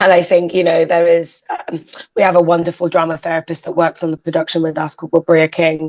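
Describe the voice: Husky woman's voice, fairly low in pitch, with a slightly mellow tone and monotone, flat intonation. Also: fairly quick pace.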